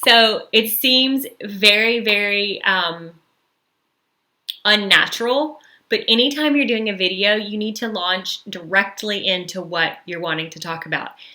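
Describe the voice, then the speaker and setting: In a Southern US accent, a woman talks fairly slowly with ordinary pitch variation. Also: medium pitch for a woman, big swings in loudness. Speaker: social media marketing coach. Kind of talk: live webinar training. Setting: YouTube livestream. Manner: casual, filler-heavy.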